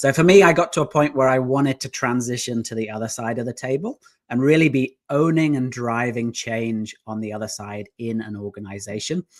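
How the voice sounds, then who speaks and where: A man with an English accent talks at a medium pitch and a fairly quick pace, with hardly any pauses. His pitch varies in an ordinary way while his loudness swings widely. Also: very clean recording, silent background. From southeast England, near London. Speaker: business founder. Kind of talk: interview.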